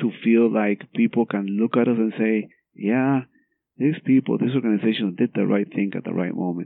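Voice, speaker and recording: In a Spanish accent, a man speaks at a medium pitch. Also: ordinary pitch variation, moderate pace. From Guatemala. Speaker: cardiologist. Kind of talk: interview.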